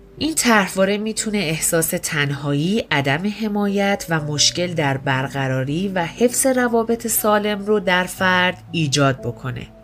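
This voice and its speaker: At a fairly slow pace, a woman with a medium-pitched voice makes very wide pitch swings, with noticeable background noise. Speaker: podcast narrator. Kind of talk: scripted narration.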